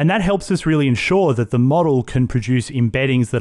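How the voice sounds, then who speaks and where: A man with a medium pitch speaks in an ordinary speaking voice. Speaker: technical business development manager. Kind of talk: casual interview chat. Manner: friendly, jokey.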